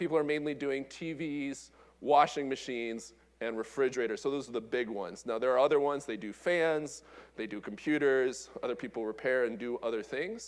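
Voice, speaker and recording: A man of medium pitch goes at a fairly quick pace, his pitch varying in an ordinary way. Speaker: engineering professor. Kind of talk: conference talk. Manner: fast.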